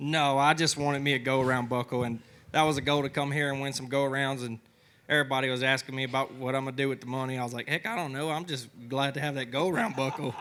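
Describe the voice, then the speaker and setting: Talking at a very fast pace, a man with a medium-pitched, bright, sharp voice keeps his intonation fairly even. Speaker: bull rider. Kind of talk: TV interview.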